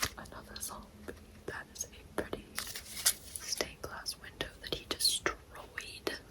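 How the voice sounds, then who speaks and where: Whispering with long, frequent pauses, a woman speaks at a fairly slow pace. Noticeable background noise can be heard. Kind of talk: ASMR pack-opening talk to camera. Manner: soft-spoken, whispered.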